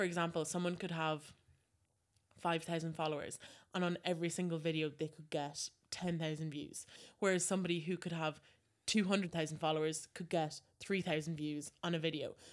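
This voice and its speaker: In an Irish accent, a woman speaks at a fairly low pitch. Her intonation is monotone and flat, and her pace is fairly quick. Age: 20s. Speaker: social media influencer. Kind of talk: interview.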